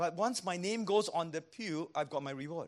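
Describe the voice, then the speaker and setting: In a Singaporean accent, a man speaks with a high pitch. His pitch varies in an ordinary way. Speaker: pastor. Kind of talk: sermon. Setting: church.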